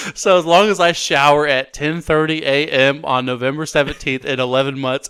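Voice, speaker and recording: A man mumbles at a moderate pace. His voice is fairly high in pitch. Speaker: podcast co-host. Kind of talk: casual chat. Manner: mumbling.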